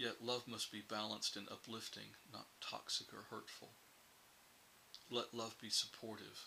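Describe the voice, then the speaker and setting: A very slow, monotone male voice with flat intonation, vocal fry and a bright, sharp tone. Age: 60s. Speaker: publishing CEO and writer. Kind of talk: reflective advice talk to camera.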